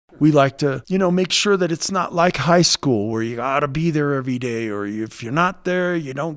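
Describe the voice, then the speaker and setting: A man with an American accent speaks in a normal speaking voice at a moderate pace, his pitch fairly high. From California (Los Angeles, later Chico). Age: 50s. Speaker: baseball coach. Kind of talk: interview.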